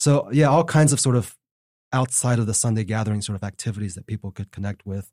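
Speaking very fast with an American accent, a man has a fairly low pitch and a dark, mellow tone, recorded dry and close with no echo, very clean, over a silent background. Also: ordinary pitch variation. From Texas. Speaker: seminary professor and author. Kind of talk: interview. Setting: studio.

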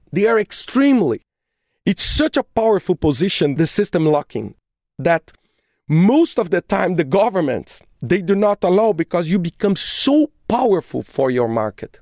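At a moderate pace, a woman with a non-native accent speaks in a dark, mellow, medium-pitched voice with vocal fry, very wide pitch swings and very even loudness, the sound dry and close with no echo. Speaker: podcast host. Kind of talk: solo podcast monologue.

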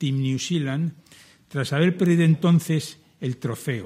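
The man's voice is somewhat breathy. He moves at a moderate pace with ordinary pitch variation. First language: Spanish. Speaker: event chairman. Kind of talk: formal welcome speech.

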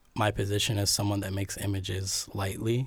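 A man with an American accent speaks in a flat monotone at a fairly low pitch. His voice is somewhat breathy. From Cleveland, Ohio. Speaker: video artist. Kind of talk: casual interview.

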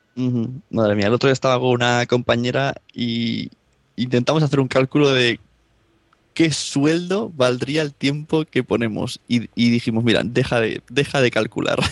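Speech comes in a Spanish accent at a moderate pace with fairly even intonation. The sound is dry and close, with no echo. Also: man, medium pitch for a man. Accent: Spanish (Spain). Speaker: podcaster. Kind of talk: casual chat. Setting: remote call from Spain, late at night.

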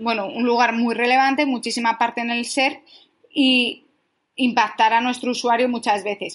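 Her intonation monotone and flat, a woman with a high pitch speaks at a moderate pace. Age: 20s. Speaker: digital marketing specialist. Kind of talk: interview.

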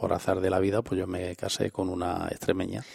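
Very clean, silent-background audio of a man with a very deep, low voice, moving at a moderate speed. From Andalusia, Spain. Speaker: president of a regional cultural association. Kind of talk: radio interview.

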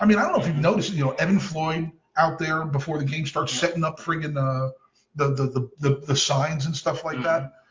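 A man is talking at a fairly high pitch. His pace is very fast. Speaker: soccer podcast host. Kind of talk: casual chat. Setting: home recording with kids in background.

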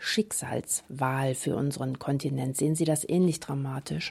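A woman's dark, mellow tone at a fairly slow pace. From Saxony, Germany. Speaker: radio host. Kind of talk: radio interview.

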